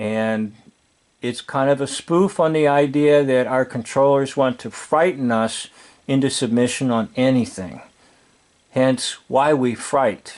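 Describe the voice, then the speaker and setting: This man talks at a fairly slow pace with a medium pitch and ordinary pitch variation, in an ordinary speaking voice. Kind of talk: casual commentary over film.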